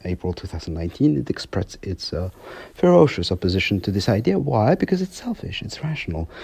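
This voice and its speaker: Very deep and low, a man's voice has a dark, mellow tone and a somewhat breathy quality. He talks at a very fast pace with lively intonation. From France. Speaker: research fellow on Libya. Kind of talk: interview. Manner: halting, many fillers.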